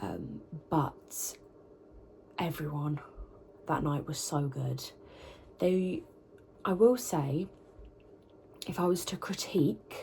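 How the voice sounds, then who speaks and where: With a British accent, a woman speaks very slowly in a very deep, low voice with vocal fry, a dark, mellow tone, lively intonation and long, frequent pauses. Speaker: vocalist and university student vlogger. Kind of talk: vlog talking to camera. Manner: casual, chatty with fillers.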